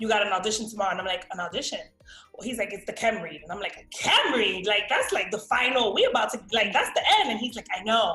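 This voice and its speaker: With music in the background, a woman with a New York accent talks at a very fast pace in an animated tone, fairly high in pitch, with ordinary pitch variation and big swings in loudness. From Miami, raised; born New York. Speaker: actress. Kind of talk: interview, casual storytelling.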